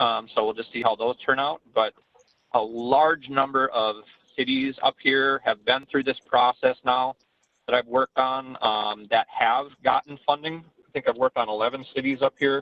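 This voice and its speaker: At a moderate pace and medium pitch, a man speaks in a normal speaking voice with fairly even intonation. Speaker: stormwater engineering consultant. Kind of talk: presentation to city council. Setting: video teleconference. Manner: many filler ums.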